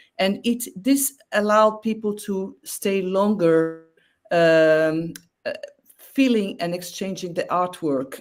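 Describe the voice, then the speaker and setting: The speaker talks at a very slow pace with a non-native accent. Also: woman. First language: not English. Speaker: exhibiting artist. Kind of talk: interview. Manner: halting.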